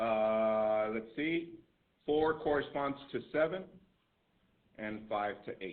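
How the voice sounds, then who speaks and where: Long, frequent pauses break up a man's very slow speech. His pitch is medium. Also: lively intonation. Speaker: math teacher. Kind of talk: classroom lecture. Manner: loud; repetitive, emphatic.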